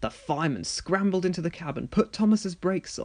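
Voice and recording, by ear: At a moderate pace, a man talks with high pitch and lively intonation.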